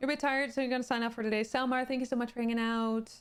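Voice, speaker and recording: This is a woman speaking with a Dutch accent. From Netherlands. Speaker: streamer. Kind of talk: casual chat. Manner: halting, many fillers.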